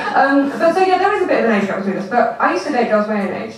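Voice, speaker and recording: A woman with an English accent talks at a very fast pace, her pitch swinging very widely. The recording has noticeable background noise and audible room echo. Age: 20s. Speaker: comedian. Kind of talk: stand-up. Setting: stage with audience.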